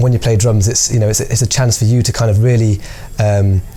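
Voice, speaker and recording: Over noticeable background noise, a man speaks fairly quickly at a medium pitch with very even loudness. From Birmingham, England (Handsworth). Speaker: percussionist. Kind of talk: interview; casual chat.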